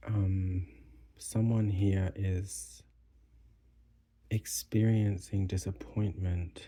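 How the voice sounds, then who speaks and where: A soft-spoken man talks in a very deep, low, dark and mellow voice that is somewhat breathy, with ordinary pitch variation. His pace is very slow, with long, frequent pauses. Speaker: tarot reader. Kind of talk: tarot reading. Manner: soft-spoken, quiet; hesitant, with fillers.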